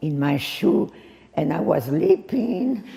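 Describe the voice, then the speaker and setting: A woman with a French accent at a very slow pace, over noticeable background noise. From France. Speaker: war witness. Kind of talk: speech to an audience.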